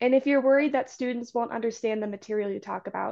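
Heard over a quiet background, a woman with an American accent has a plain, everyday voice at a fairly high pitch. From Washington state. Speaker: undergraduate student presenter. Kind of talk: conference presentation.

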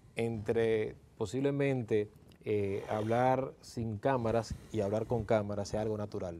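Over light background noise, a man with a dark, mellow tone talks at a fairly slow pace with fairly even intonation. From Dominican Republic, Santo Domingo; Dominican Republic. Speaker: electric vehicle conversion specialist; guest. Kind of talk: interview. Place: studio. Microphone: lapel.

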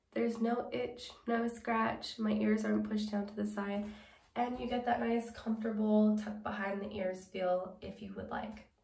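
There is audible room echo as a woman speaks at a moderate pace with fairly even intonation. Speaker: wig reviewer. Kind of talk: product review chat. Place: home room.

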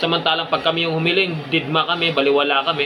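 A man with a fairly high pitch rattles along at a very fast pace while noticeable background noise plays. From Philippines, province. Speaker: security guard vlogger. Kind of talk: casual advice vlog.

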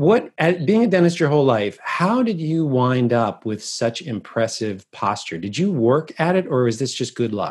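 Over a quiet background, a man talks at a moderate pace with hardly any pauses and very wide pitch swings. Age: 40s. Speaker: podcast host. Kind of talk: interview. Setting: video call. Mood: warm, admiring. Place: home room. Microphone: earbuds.

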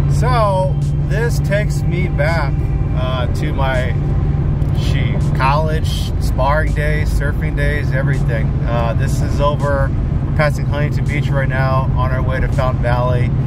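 A man's fairly slow delivery, dry with no echo, over background music. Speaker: vlogger driving. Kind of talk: casual vlog chat. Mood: relaxed, nostalgic. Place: car. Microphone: phone near.

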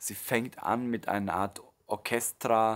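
Over a quiet background, a man speaks in a calm, warm tone. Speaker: meditation teacher and music creator. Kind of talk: promotional introduction to a meditation track, explanatory monologue. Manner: calm, warm, explanatory, with filler words and restarts. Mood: calm, thoughtful. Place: home room.

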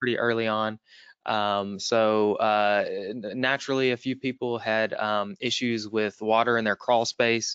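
A man with a Southern US accent speaks at a medium pitch in a monotone, flat manner at a fairly slow pace. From US Southeast. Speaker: webinar moderator. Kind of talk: webinar moderation. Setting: online webinar.

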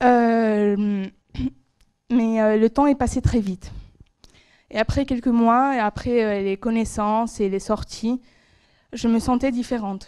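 A woman speaks very slowly with long, frequent pauses, her pitch fairly high and her intonation fairly even. Her tone is dark and mellow, and the background is quiet. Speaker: master's student; presenter. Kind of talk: academic presentation. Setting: stage with audience. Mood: nervous, reflective, hesitant. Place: hall. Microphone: handheld.

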